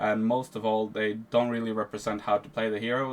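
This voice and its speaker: A man in a Norwegian accent, medium-pitched, at a fairly quick pace. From Norway. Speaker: video game guide creator. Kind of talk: tutorial. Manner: casual.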